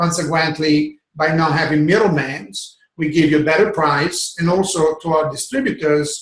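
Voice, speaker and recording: At a fairly quick pace, a man with a fairly high pitch talks with ordinary pitch variation. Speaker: network marketing product trainer. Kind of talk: online sales training webinar. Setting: video call webinar. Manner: fast.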